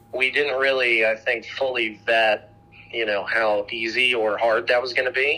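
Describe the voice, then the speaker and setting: Over noticeable background noise, a man with an American accent talks at a medium pitch and a moderate pace in a monotone with flat intonation. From US Midwest (Dayton, Ohio). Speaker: entrepreneur. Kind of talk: casual interview.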